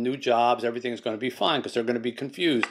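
Speaking at a very fast pace, a man keeps his intonation monotone and flat. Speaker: guest. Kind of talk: interview answer. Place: home room. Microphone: video call.

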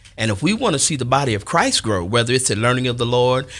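With little sound behind him, a man speaks fairly quickly and varies his pitch in an ordinary way. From Chicago South Side; Chicago. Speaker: church elder; guest. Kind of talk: casual chat. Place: studio. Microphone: studio mic.

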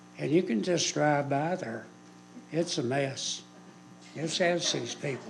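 A man speaks at a fairly high pitch with ordinary pitch variation and a fairly slow pace. Long, frequent pauses break up his speech, and there is audible room echo. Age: 70s. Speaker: local resident at public hearing. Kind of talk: public comment. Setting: city council meeting.

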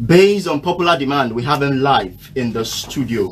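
A man's medium-pitched voice with ordinary pitch variation, faint music in the background. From Nigeria. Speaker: radio host. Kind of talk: radio interview. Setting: radio studio. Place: studio.

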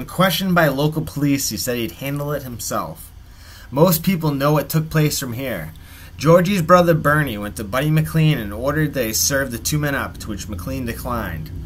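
A man speaks in a dramatic tone, his pitch fairly high and his intonation lively. His loudness swings widely. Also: moderate pace. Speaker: YouTube true-crime channel narrator. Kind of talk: true-crime narration, scripted-style storytelling. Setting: solo video narration. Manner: measured, dramatic storyteller delivery with dry, wry asides; conversational and wry, with a folksy sign-off.

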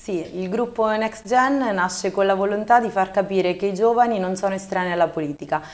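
Talking at a fairly quick pace, a woman keeps a medium pitch with ordinary pitch variation. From central Italy, Marche (Civitanova Marche); Marche, Italy. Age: 20s. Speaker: local election candidate; election candidate. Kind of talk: TV interview. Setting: studio. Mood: calm, earnest. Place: studio.

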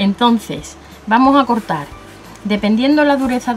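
A woman at a fairly slow pace, with light background noise. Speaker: craft tutorial host. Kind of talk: tutorial.

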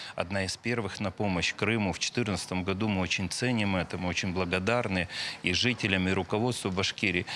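A man at a fairly low pitch with a bright, sharp tone, a moderate pace, and fairly even intonation, over light background noise. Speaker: regional tourism minister. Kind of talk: interview answer. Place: hall.

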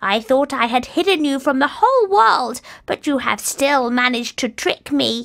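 A high-pitched put-on character voice at a moderate pace. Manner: crying out in anger.

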